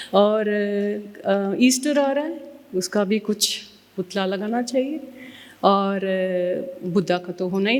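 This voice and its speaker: Her pitch sits in the middle range, and the woman's voice rises and falls in an ordinary way. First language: Tamil (speaking Hindi). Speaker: trust founder, mental health activist. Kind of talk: keynote address. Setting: stage with audience. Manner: halting, many fillers.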